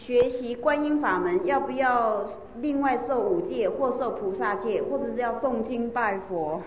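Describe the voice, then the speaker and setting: Noticeable background noise sits behind a woman speaking at a fairly slow pace. Her high voice has lively intonation. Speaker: interpreter or assistant relaying testimonies. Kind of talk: storytelling testimony.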